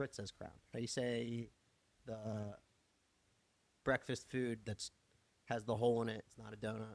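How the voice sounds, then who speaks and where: In a strong Philadelphia accent, a man at medium pitch speaks in a monotone, flat intonation at a moderate pace, with long, frequent pauses, big swings in loudness, and a dry, close sound with no echo. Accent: thick Philadelphia. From Philadelphia area, US. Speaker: podcast co-host. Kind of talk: casual chat.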